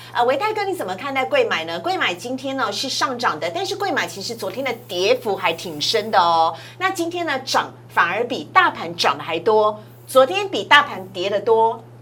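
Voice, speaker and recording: A woman speaks in a Taiwanese accent at a fairly high pitch, with very wide pitch swings and an animated tone. Noticeable background noise runs behind her. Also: moderate pace. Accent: Taiwanese Mandarin. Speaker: financial TV show host. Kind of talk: finance show hosting; scripted preview narration.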